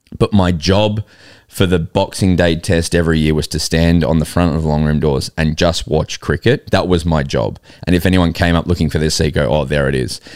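A man with an extremely low pitch talks at a fairly quick pace, his intonation fairly even and his tone clear, smooth and slightly mellow.

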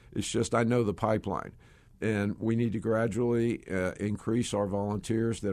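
A man with a Southern US accent talks at a fairly quick pace in a dark, mellow tone. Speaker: ministry executive. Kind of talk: casual interview chat.

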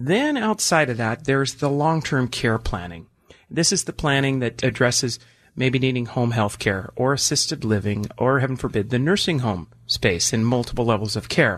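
A man's plain, everyday voice at medium pitch, moderate pace and lively intonation, over a quiet background. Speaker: financial advisor. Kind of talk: infomercial pitch with explanatory talk about retirement planning. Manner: earnest and explanatory, salesy when urging a call.

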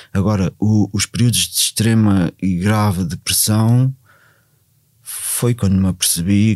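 A man's fairly low voice carries fairly even intonation on a very clean recording with a silent background. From Portugal, Ribatejo. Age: 40s. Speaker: former drug addict, outreach worker. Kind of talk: personal testimony. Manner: halting, many fillers and repetitions.

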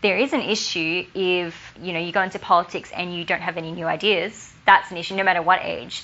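A woman with an Australian accent speaks at a fairly quick pace with hardly any pauses, keeping a medium pitch and fairly even intonation. Her loudness swings widely, and noticeable background noise is present. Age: 20s. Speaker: law student and youth advocate. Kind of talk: interview.

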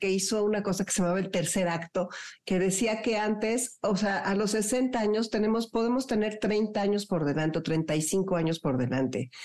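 An ordinary speaking voice from a woman, medium in pitch, with lively intonation and a moderate pace. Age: 60s. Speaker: radio host. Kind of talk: radio interview.

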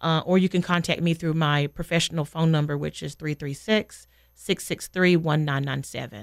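A woman's very deep, low voice with an American accent, fairly even intonation, a moderate pace and hardly any pauses, in a dry, close recording with no echo. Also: very clean recording, silent background. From North Carolina (small town). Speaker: elementary school teacher. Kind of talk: radio interview.

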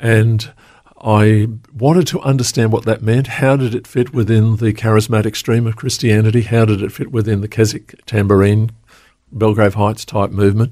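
Here a man speaks with an Australian accent at a medium pitch. His tone is dark and mellow, with fairly even intonation at a moderate pace. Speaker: pastor. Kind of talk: interview. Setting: studio.

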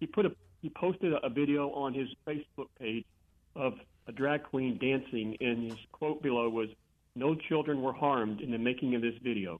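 Here is a man with an American accent and a normal speaking voice. He talks at a moderate pace with a medium pitch and ordinary pitch variation. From San Antonio, Texas. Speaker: caller. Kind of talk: casual chat. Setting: phone call.

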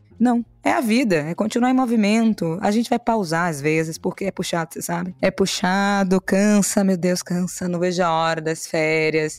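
A woman with an ordinary speaking voice, medium pitch and ordinary pitch variation, at a moderate pace with hardly any pauses, sounding dry and close with no echo in a very clean recording over a silent background. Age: 20s. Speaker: podcast host and entrepreneur. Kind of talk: casual interview.

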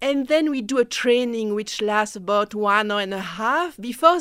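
The speaker has a French accent and lively intonation. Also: woman. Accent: French-speaking. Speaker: mentorship program director. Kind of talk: radio interview. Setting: radio studio.

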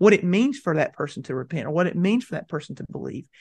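A man speaks high-pitched in a Southern US accent. The background is quiet. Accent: Southern American. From US South, mountains of North Carolina. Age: 40s. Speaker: seminary professor of evangelism. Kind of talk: interview. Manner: halting, frequent repetitions.

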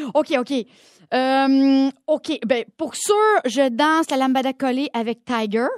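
Her pitch high and her pitch variation ordinary, a woman talks at a very slow pace in a dry, close sound with no echo. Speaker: podcast co-host. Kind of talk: casual chat.

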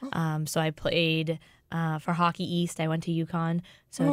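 In an American accent, a woman with fairly low pitch speaks at a moderate pace with monotone, flat intonation on a very clean recording with a silent background. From Boston. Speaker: fitness head coach. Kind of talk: interview.

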